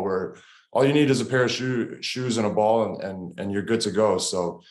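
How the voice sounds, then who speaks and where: A Canadian accent at a fairly quick pace, with audible room echo. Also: man. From Canada, Toronto. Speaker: professional basketball player. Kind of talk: TV interview. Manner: hesitant, many fillers.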